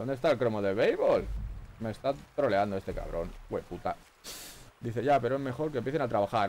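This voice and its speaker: A man at a fairly quick pace, with light background noise. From Spain. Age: 40s. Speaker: gaming streamer. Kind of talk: live gameplay commentary. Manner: animated. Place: home room. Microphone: headset.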